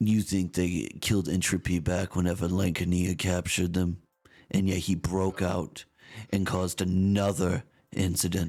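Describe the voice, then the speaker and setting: Using a put-on character voice, a man speaks at a moderate pace in a very deep, low, raspy tone with monotone, flat intonation and very even loudness. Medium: actual play. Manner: grave, measured, intense.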